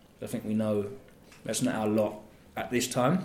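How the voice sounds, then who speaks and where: A man with an Essex accent speaks in a room with audible echo. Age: 30s. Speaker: radio DJ. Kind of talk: casual chat.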